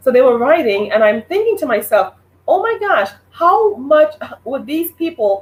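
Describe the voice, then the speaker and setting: The speaker has a Trinidadian accent and an animated tone. Their pitch swings very widely. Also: woman. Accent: Trinidadian Caribbean. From Trinidad, then New York City. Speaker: online show host. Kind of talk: live stream monologue.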